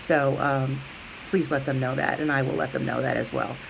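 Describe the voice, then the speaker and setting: A woman talks amid noticeable background noise, with room echo audible. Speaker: middle school teacher. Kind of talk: recorded message to parents. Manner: fast.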